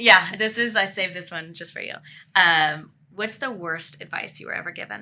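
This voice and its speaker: A woman talks at a moderate pace with a bright, sharp tone and big swings in loudness. Her pitch is medium, with ordinary variation. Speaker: podcast host. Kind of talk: panel discussion.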